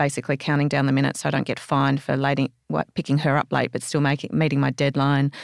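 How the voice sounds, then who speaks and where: A woman with an Australian accent speaks at a very fast pace in a very deep, low pitch. The recording is very clean, with a silent background and a dry, close sound with no echo. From Australia, Canberra. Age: 40s. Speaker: former magazine editor and entrepreneur. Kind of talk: interview.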